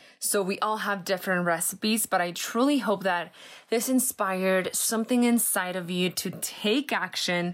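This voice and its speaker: A woman's medium-pitched voice at a fairly slow pace, with ordinary pitch variation, on a very clean recording with a silent background. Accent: Spanish. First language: Spanish. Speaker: podcast host, entrepreneur. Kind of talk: solo personal-development monologue. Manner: animated.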